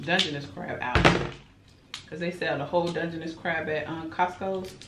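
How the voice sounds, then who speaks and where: Loud background noise sits under speech at a moderate pace. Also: woman. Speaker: mukbang vlogger. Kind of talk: casual vlog chat. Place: home room.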